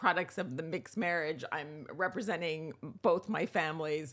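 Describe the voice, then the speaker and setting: With an American accent, a woman speaks at a moderate pace in a fairly low voice with vocal fry. The recording is very clean, the background silent. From US, New York. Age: 60s. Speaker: writer and TV producer. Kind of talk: interview conversation.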